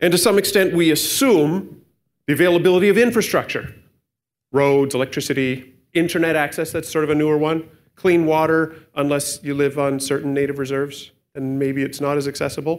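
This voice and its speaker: With a Canadian accent, a man talks at a fairly quick pace in a plain, everyday voice, fairly high in pitch with ordinary pitch variation, on a very clean recording with a silent background. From Canada. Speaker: pastor. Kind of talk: sermon.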